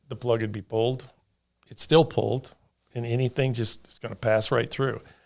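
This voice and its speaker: The man has a normal speaking voice at a medium pitch, with fairly even intonation. His pace is moderate, but his loudness swings a lot. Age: 60s. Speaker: farmer and water board member. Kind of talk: casual interview.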